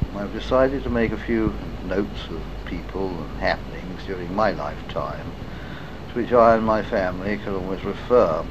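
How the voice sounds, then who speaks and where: A man with an English accent at a moderate pace, over noticeable background noise. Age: 70s. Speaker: retired RAF wing commander. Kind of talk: memoir reading. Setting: cassette recording.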